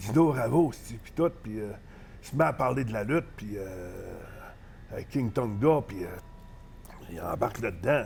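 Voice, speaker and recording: In a Saguenay–Lac-Saint-Jean accent, a man speaks somewhat breathily at a fairly slow pace, with long, frequent pauses and big swings in loudness. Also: medium pitch for a man, lively intonation. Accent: Saguenay-Lac-Saint-Jean Quebec French. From Quebec, Saguenay (Jonquière). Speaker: professional wrestler. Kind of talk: casual interview, storytelling. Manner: hesitant, many fillers.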